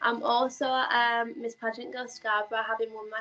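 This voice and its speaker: A woman speaks at a moderate pace in a Yorkshire accent, her pitch fairly high. Her tone is bright and sharp, and her intonation stays monotone and flat. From northern England, Leeds, Yorkshire. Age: 20s. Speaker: beauty pageant contestant and influencer. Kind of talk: interview. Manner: hesitant, many fillers.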